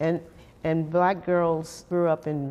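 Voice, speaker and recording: An American-accented woman with a dark, mellow tone, fairly low pitch, monotone, flat intonation and a fairly slow pace. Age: 80s+. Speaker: former camper. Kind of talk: casual chat.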